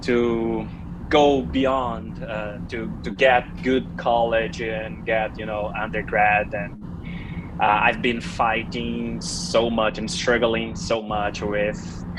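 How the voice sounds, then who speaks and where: A man speaks at a very slow pace with a Portuguese accent. Music plays in the background, and room echo is audible. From Brazil. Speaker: PhD candidate. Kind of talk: thesis defense thanks speech. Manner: halting.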